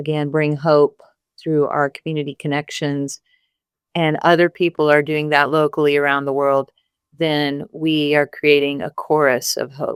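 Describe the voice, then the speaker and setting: At a moderate pace, a woman speaks in a very deep, low pitch with monotone, flat intonation and a dry, close sound with no echo. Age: 60s. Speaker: singer-songwriter. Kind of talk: podcast interview. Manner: hesitant, many fillers.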